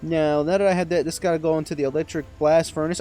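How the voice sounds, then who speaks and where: A man talks with music playing in the background. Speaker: gaming YouTuber. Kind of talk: gameplay commentary. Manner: softer than usual; halting, stumbling over words.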